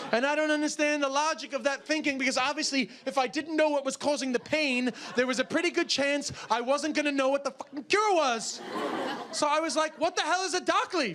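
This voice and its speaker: Over noticeable background noise, a man talks in an animated tone at an extremely high pitch and a fairly quick pace, with ordinary pitch variation. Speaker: stand-up comedian. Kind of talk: stand-up comedy routine to a live audience. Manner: animated, comedic, storytelling with shouted outbursts.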